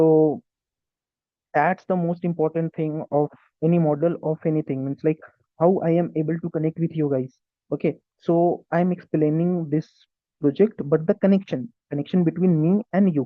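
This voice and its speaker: With an Indian accent, a man speaks at a moderate pace and a fairly high pitch, keeping his intonation fairly even and leaving long, frequent pauses. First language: Hindi. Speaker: tech YouTuber and student engineer. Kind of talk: tutorial. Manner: halting.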